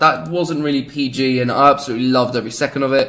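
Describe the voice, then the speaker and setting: A man talks with a British accent. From Britain. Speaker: gaming YouTuber. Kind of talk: gameplay commentary. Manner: animated; halting, many fillers.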